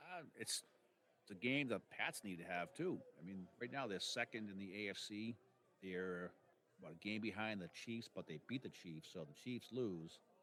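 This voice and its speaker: A man in a Boston accent talks at a moderate pace with lively intonation, his fairly low pitch set in a bright, sharp tone. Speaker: sports podcast co-host. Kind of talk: casual sports chat.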